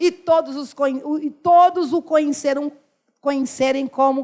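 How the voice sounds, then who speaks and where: In a northeastern Brazilian accent, a woman speaks with a high pitch and an animated tone on a very clean recording with a silent background. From Brazil, Northeast. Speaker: pastor. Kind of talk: sermon.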